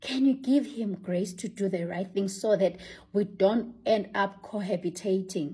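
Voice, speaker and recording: A somewhat breathy woman's voice of medium pitch, dark and mellow in tone, at a fairly slow pace with ordinary pitch variation. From Africa. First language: African language, not English. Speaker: vlogger. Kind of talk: casual monologue to camera.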